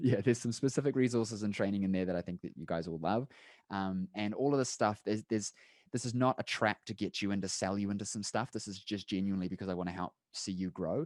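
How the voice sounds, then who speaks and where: With a strong New Zealand accent, a man talks at a very fast pace with fairly low pitch and ordinary pitch variation, in a dry, close sound with no echo. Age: young. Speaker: chiropractor and business coach. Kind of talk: podcast interview pitch.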